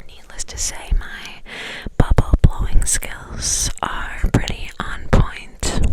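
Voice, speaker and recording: A woman whispers at a very slow pace, her loudness swinging widely. Noticeable background noise sits under her voice. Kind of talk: ASMR whisper ramble. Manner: whispered.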